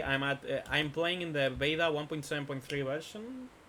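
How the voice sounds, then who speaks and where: This man speaks with a Spanish accent at a fairly high pitch. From Spain. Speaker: gaming streamer. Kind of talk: casual live stream chat. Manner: halting, many fillers.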